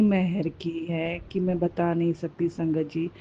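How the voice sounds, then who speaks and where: A woman speaks in a soft-spoken way. Her pitch sits fairly low. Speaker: devotee sharing testimony. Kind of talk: testimony. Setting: hospital.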